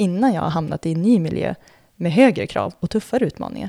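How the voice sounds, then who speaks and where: Very fast and full of lively intonation, a woman speaks at a fairly low pitch in a dark, mellow tone. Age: 30s. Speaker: former elite floorball player and reporter. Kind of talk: scripted narration.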